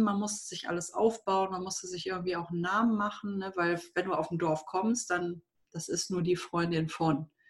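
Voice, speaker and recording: This is a woman with an unremarkable speaking voice. Her pitch is medium, with ordinary variation. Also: hardly any pauses. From Germany, Düsseldorf. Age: 30s. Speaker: wedding and funeral speaker. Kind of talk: casual interview.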